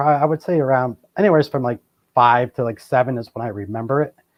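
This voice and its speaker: A man talks very fast in an American accent, his medium pitch rising and falling in an ordinary way. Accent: Boston, slight, shows now and then. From Boston, US. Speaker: paranormal and Bigfoot researcher. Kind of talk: interview. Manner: casual, many fillers.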